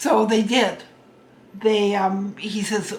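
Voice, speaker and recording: Here a woman talks with an American accent. Audible room echo and noticeable background noise are present. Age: 70s. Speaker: storyteller. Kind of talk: personal reminiscence. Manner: halting.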